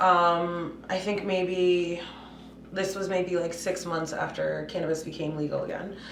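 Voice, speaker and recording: Noticeable background noise and audible room echo surround a woman's fairly low voice. She speaks at a fairly slow pace with monotone, flat intonation. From Puerto Rico, raised in Massachusetts from age five. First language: Spanish. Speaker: cannabis business CEO. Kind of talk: podcast interview. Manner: casual, many fillers.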